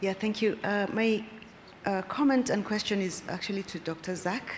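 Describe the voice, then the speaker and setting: A woman's medium-pitched speech carries audible room echo. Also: ordinary pitch variation, moderate pace. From Kenya. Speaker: audience member asking questions. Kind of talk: conference Q&A comment.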